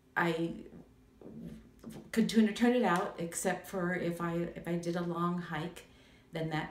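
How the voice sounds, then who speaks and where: A woman speaks at a fairly low pitch. Noticeable background noise and audible room echo accompany her voice. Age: 70s. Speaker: patient giving testimonial. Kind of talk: testimony. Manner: halting, many fillers.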